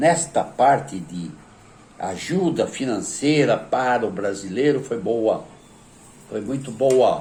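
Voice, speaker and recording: A man with a Brazilian accent speaks at a very slow pace. His pitch swings very widely. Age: 80s+. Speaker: retired worker and voter. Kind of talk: political commentary to camera.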